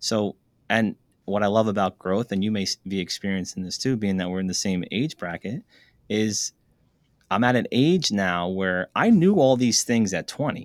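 In a normal speaking voice, a man with an American accent talks at a moderate pace with fairly low pitch and ordinary pitch variation, in a very clean recording with a silent background and a dry, close sound with no echo. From New Jersey / New York area. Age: 40s. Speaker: entrepreneur. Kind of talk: interview.

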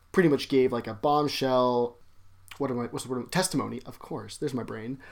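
In a very clean recording with a silent background, a man with a Canadian accent speaks fairly quickly at a medium pitch in an ordinary speaking voice. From Alberta, Canada. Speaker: podcast co-host. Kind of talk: casual comedic chat.

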